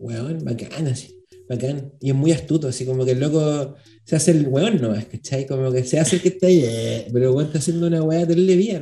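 A man with a Chilean accent, fairly high pitch, ordinary pitch variation, and a fairly quick pace. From Chile, Santiago (La Florida). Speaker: journalist and podcaster. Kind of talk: casual chat.

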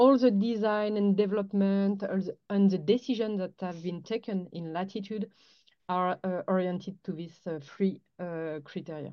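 Speaking at a moderate pace with a French accent, a woman keeps a medium pitch and fairly even intonation while her loudness swings widely. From France. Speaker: head of sales at a space launch company. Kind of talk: interview.

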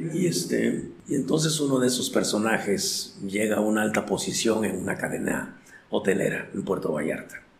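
The speech has lively intonation and a moderate pace, with noticeable background noise and audible room echo. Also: man, fairly low pitch for a man. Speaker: recovering addict sharing life story. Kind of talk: testimony. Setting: in-person recording in Oaxaca.

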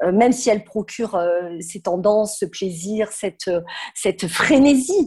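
Somewhat breathy, a woman's voice unfolds at a fairly slow pace. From southern France. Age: 50s. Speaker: fashion consultant and trade fair founder. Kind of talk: podcast interview.

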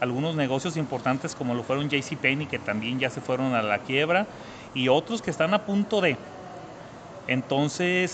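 Over noticeable background noise, a man with a Mexican accent speaks with lively intonation. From Mexico, Zacatecas. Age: 30s. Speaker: trader and entrepreneur. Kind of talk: interview.

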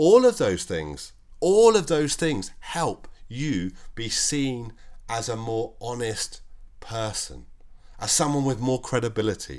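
A man speaks at a very slow pace. The recording is very clean, with a silent background. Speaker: solo podcast host. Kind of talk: solo monologue podcast.

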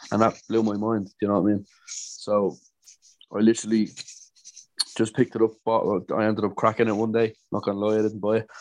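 In a Dublin accent, the speaker talks at a fairly quick pace with monotone, flat intonation and long, frequent pauses. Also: man, fairly low pitch for a man. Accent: Dublin Irish. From Dublin, Ireland. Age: 20s. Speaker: DJ and music producer. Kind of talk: casual interview. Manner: hesitant, many fillers and repetitions.

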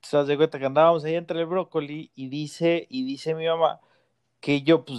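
At a moderate pace, a man talks with a fairly high pitch and a plain, everyday voice. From Mexico, rural Guanajuato. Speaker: podcast host, father. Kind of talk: casual chat.

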